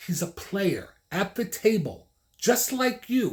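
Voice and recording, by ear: A man with a high pitch speaks at a slow pace, his voice making big pitch swings.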